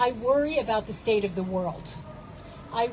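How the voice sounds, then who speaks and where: Her pitch swings very widely as this woman talks at a fairly slow pace. Noticeable background noise runs underneath. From Palestinian background. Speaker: protest speaker. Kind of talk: rally speech. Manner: impassioned.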